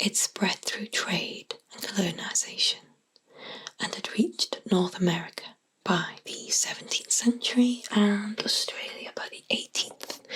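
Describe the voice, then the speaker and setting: Whispering in a British accent, a woman speaks at a fairly slow pace with big swings in loudness. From England. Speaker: ASMR artist. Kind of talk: sleep story. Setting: binaural microphone. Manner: whispered.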